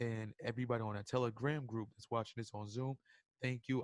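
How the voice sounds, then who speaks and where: In a dry, close sound with no echo, a man talks at a fairly quick pace with a medium pitch and monotone, flat intonation. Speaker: forex trading educator. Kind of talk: webinar. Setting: live stream. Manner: casual, halting.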